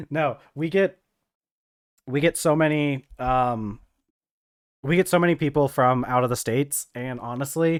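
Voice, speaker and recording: A man with an American accent speaks at a fairly high pitch and a fairly slow pace, with ordinary pitch variation and long, frequent pauses. The sound is dry and close with no echo, on a very clean recording with a silent background. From US South. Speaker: gaming streamer. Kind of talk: live stream casual chat. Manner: halting, many fillers and repeats.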